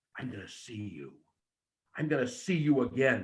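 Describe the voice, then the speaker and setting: Raised and projected, a man's voice carries a bright, sharp tone. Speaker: wrestling promo coach. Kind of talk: coaching feedback.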